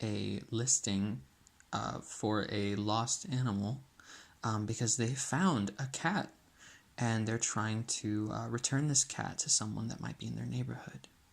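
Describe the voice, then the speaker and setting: Soft-spoken, at a fairly slow pace. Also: man. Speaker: student. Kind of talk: app prototype demonstration. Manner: soft-spoken, ASMR-like.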